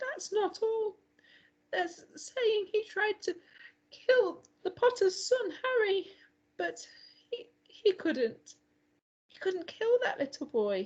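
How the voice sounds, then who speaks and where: Putting on a character voice, a woman speaks extremely high and shaky at a very slow pace, with long, frequent pauses. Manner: trembling, emotional.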